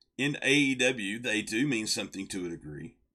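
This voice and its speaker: A man talks with a bright, sharp tone and vocal fry on a very clean recording with a silent background. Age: 40s. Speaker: wrestling podcast co-host. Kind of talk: casual chat. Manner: halting, repeats words.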